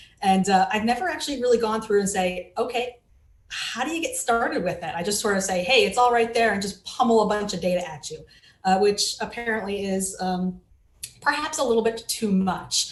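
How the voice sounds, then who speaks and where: A woman's fairly high, fairly quick voice with ordinary pitch variation and audible room echo. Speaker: digital forensics researcher. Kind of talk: conference talk.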